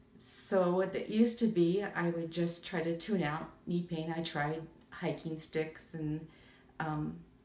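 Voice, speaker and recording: The voice carries fairly even intonation, with audible room echo. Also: woman. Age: 70s. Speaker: patient giving testimonial. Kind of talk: testimony. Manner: halting, many fillers.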